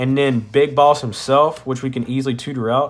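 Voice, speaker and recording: This man has an ordinary speaking voice at medium pitch. His pitch variation is ordinary. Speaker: card game youtuber. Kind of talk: deck profile tutorial. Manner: casual, many fillers.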